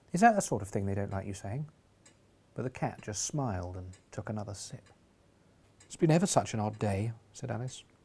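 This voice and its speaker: Lively intonation in a somewhat breathy voice. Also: man. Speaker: comedian and audiobook reader. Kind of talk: comic audiobook reading with character voices.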